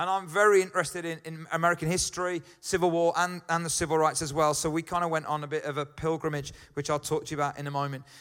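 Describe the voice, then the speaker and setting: In a Birmingham accent, a man with a fairly high pitch speaks very fast and flat, in a monotone with hardly any pauses, on a very clean recording with a silent background. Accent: Birmingham (Brummie). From Birmingham, England. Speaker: pastor. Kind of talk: sermon. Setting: church. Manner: casual, halting.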